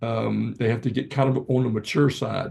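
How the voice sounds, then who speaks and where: A man talks with a dark, mellow tone and a somewhat breathy quality. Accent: Virginia. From Virginia. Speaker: gardening speaker. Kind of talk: presentation. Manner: halting.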